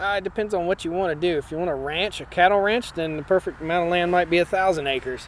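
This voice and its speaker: A man with a Virginia accent, high pitch, very fast pace, hardly any pauses and fairly even intonation. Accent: Southern US (Virginia). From Virginia, Martinsville. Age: 40s. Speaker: farmer and homesteader. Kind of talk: interview. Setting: conference.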